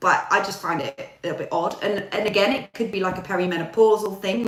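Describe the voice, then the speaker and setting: In an English accent, a woman talks at a fairly quick pace with ordinary pitch variation. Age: 40s. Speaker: YouTuber. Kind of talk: casual chat. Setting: live stream. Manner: chatty.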